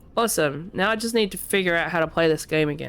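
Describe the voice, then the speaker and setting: Over music in the background, a woman speaks with a fairly low pitch and lively intonation. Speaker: let's play gamer. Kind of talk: casual gameplay commentary.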